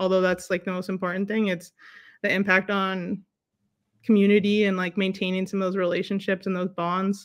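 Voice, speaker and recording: The tone is bright and sharp on a very clean recording with a silent background. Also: woman. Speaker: basketball coach and educator. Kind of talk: casual interview. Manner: loud; animated.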